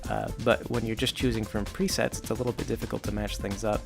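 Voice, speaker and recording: A quiet man's voice at medium pitch, with lively intonation, over music in the background. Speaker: web comic creator and video game talker. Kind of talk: quiet ASMR-style stream of consciousness talk to camera. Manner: quiet, close-mic, rambling, casual.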